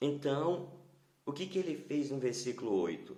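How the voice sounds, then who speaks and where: A man with a dark, mellow tone speaks at a fairly high pitch, with ordinary pitch variation, vocal fry and audible room echo. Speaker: pastor. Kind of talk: sermon. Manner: soft-spoken; halting.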